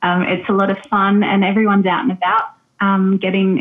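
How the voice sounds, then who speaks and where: A woman with an Australian accent. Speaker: travel tour operator, expat. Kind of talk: casual interview chat. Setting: video call. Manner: hesitant, filler words.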